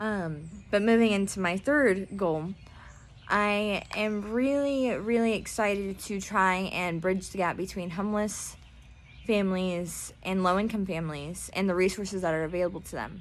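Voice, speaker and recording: In a room with audible echo, a woman of medium pitch talks at a moderate pace with ordinary pitch variation. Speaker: pageant contestant and vlogger. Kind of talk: personal vlog monologue. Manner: hesitant, many fillers.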